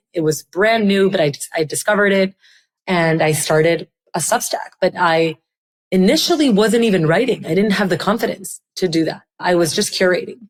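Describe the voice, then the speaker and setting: This woman has a Spanish accent and a medium pitch. She talks at a moderate pace. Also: ordinary pitch variation, very even loudness. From Colombia, Barranquilla. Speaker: startup founder. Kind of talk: interview conversation. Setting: podcast interview. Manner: halting, many restarts.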